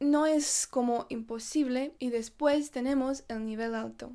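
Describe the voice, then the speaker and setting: A woman with a non-native accent speaks at a fairly slow pace and a high pitch, with fairly even intonation and a dark, mellow tone. The background is quiet. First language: not Spanish (speaking Spanish). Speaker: YouTuber; vlogger. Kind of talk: vlog. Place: home room. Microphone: phone near.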